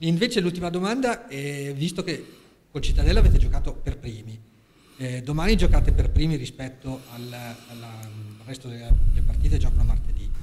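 A man with a fairly high pitch talks at a fairly quick pace, his intonation lively and his loudness swinging widely. He leaves long, frequent pauses, and background noise is noticeable. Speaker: sports journalist. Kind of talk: press conference questions.

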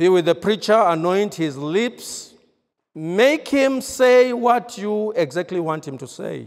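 Over a quiet background, a man speaks at a very slow pace. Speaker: preacher. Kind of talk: sermon. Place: church. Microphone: handheld.

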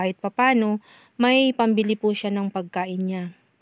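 A woman with an ordinary speaking voice talks at a fairly quick pace and medium pitch, with fairly even intonation against a quiet background. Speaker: community helper recommending aid recipients. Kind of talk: on-site vlog narration.

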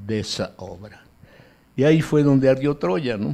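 The man talking shows ordinary pitch variation. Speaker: museum director, grandson of a revolutionary; speaker. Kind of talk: speech. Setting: museum event with live audience. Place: hall. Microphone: podium.

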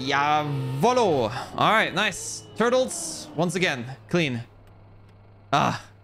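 Against music in the background and audible room echo, a man speaks with a fairly high pitch and lively intonation. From Belgium, German-speaking part. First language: German. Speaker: video game streamer. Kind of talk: live gameplay stream commentary. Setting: live stream talking to chat. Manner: animated.

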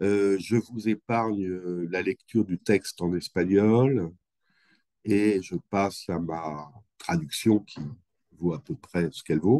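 A man's slow, low-pitched speech with a dark, mellow tone and fairly even intonation, in a dry, close sound with no echo

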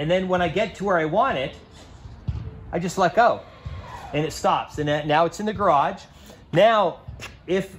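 Over faint music in the background, a man with a high pitch talks at a moderate pace with ordinary pitch variation and long, frequent pauses. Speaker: car owner demonstrating feature. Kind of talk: tutorial. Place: street.

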